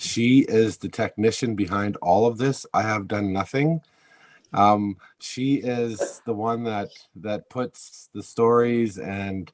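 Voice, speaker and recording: At a very slow pace, a man talks in a medium pitch with ordinary pitch variation. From Ontario, Canada (Serpent River First Nation). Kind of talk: webinar presentation.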